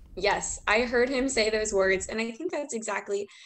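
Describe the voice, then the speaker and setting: A woman speaks with an American accent in an unremarkable speaking voice. Her pitch is fairly high with ordinary variation, and her pace is moderate. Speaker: student, rally attendee. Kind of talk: interview.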